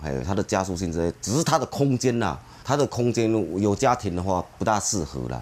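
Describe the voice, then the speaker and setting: A man with a fairly low pitch talks at a very fast pace, his voice making very wide pitch swings. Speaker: car club forum moderator. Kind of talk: casual chat. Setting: on location.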